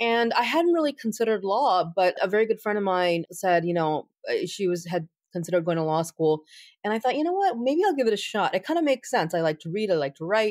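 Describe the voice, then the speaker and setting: On a very clean recording with a silent background and dry, close sound with no echo, a woman with an American accent races along at a very fast pace, her medium pitch making very wide swings. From United States. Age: 40s. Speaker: attorney and civil rights advocate. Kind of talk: interview.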